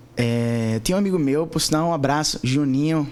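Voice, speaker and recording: Talking at a fairly quick pace, a man uses a normal speaking voice with a fairly high pitch and ordinary pitch variation. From Recife, Pernambuco, Brazil. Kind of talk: casual interview testimony.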